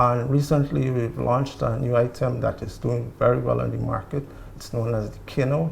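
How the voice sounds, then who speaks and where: A man talks at a fairly quick pace. He speaks with a Guyanese accent. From Guyana. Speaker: marketing coordinator. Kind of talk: TV interview. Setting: TV set in a hotel room.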